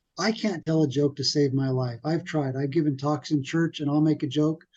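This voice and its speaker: The voice mumbles at a very fast pace in a dark, mellow tone. The background is quiet. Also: man. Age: 50s. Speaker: web developer, podcast guest. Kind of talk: casual interview chat. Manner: quiet, soft-spoken; people think he mumbles.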